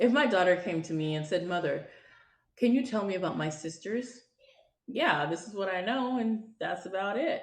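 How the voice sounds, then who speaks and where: With audible room echo around her, a woman talks at a moderate pace with lively intonation. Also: medium pitch for a woman. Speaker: podcast host. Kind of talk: personal monologue. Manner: loud.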